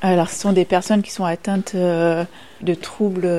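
A woman's dark, mellow voice at medium pitch, at a very slow pace. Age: young. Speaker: nursing home activity coordinator. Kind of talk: interview.

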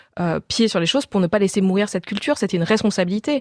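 With a dry, close sound and no echo, a woman has a plain, everyday voice at a medium pitch with ordinary pitch variation. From Corsica. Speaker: novelist. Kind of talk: radio interview.

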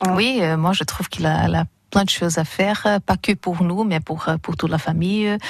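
Speaking with a Brazilian accent, a woman uses a fairly low pitch and fairly even intonation at a moderate pace. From Brazil, São Paulo. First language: Portuguese (speaking French). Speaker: English teacher, newcomer. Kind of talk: radio interview. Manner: halting.

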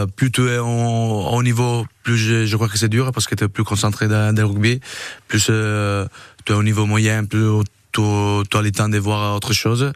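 A man's fairly low voice, monotone and flat, at a fairly slow pace with very even loudness. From Italy. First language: Italian (speaking French). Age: 30s. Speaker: rugby player. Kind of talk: radio interview. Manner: halting.

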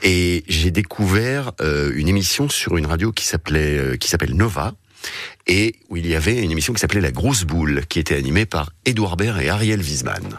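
This man has a very deep, low pitch, lively intonation and a moderate pace. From Paris region. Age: 40s. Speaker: radio program director. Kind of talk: casual chat.

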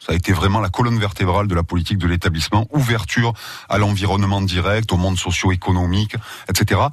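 Very fast speech comes from a man with a fairly low pitch. His intonation stays fairly even. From southern France, Marseille. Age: 40s. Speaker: university president. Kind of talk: radio interview. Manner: halting, repeats words.

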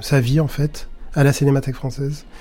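A man's voice, fairly high in pitch, with a dark, mellow tone. It sounds somewhat breathy. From Paris area, France. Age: 50s. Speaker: film archivist and curator. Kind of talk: documentary interview.

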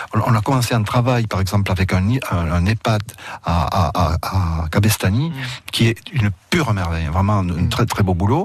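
With ordinary pitch variation, the talker keeps to a moderate pace. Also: man, fairly low pitch for a man. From Roussillon, French Catalonia. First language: Catalan (speaking French). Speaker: university professor and writer. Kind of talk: radio interview. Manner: halting, with repetitions.

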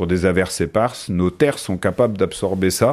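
Speaking with ordinary pitch variation, a man has a very deep, low pitch. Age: 40s. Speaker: PE teacher, flood victim. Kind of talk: testimony.

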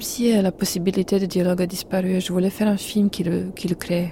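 A dark, mellow, somewhat breathy voice speaks in a Serbian accent. The pace is fairly slow and the intonation is monotone and flat. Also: woman. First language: Serbian (speaking French). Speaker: film director. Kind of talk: radio interview. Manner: halting.

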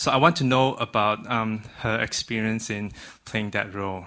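Fairly even intonation shapes a man's fairly low-pitched delivery, which has a bright, sharp tone. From Malaysia. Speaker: audience member. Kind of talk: audience question.

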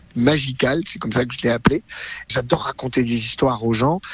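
With his voice at a medium pitch, a man lets it vary in an ordinary way. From France, Drôme. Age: 60s. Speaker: magician. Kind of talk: interview.

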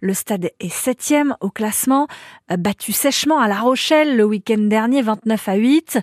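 In a very clean recording with a silent background, a woman with an unremarkable speaking voice talks fairly slowly at a fairly high pitch, with ordinary pitch variation. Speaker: local radio news reader. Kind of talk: news reading, regional radio bulletin. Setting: studio. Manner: brisk, even, formal newsreader delivery; neutral, serious tone for grim stories.

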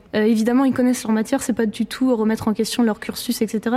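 A woman speaks in a fairly high voice. Background noise is noticeable behind her. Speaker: law graduate. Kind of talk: panel talk. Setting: lecture hall with audience.

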